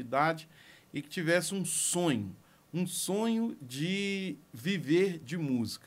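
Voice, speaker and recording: A man with a fairly high pitch speaks with lively intonation. The recording is very clean, with a silent background. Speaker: music producer. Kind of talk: personal story monologue. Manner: slow.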